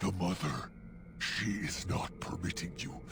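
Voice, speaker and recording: A put-on character voice at a fairly slow pace over loud background noise. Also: man. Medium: machinima. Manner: odd stilted grammar, "I am being".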